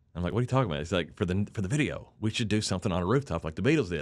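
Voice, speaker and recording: A man talks with lively intonation. His voice sits at a fairly low pitch. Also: quiet background. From Harlan, eastern Kentucky. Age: 40s. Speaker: musician, band frontman. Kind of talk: casual interview chat. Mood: relaxed storytelling. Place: studio. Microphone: studio mic.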